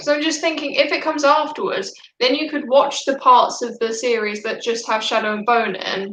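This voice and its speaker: With a British accent, a woman speaks at a high pitch. Her pace is moderate, with hardly any pauses. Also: ordinary pitch variation. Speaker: book YouTuber. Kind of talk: casual live stream chat.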